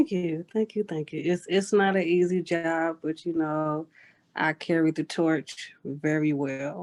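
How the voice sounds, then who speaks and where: A woman with a Southern US accent, fairly low in pitch, at a fairly slow pace and with fairly even intonation. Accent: Southern American. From US South, Georgia (Savannah area), military family. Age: 30s. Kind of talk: interview.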